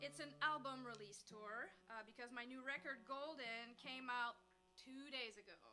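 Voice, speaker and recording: High female voice with lively intonation and big swings in loudness. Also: moderate pace. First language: French. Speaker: folk-pop singer-songwriter. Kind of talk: stage banter between songs. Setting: house concert with audience. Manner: casual, chatty.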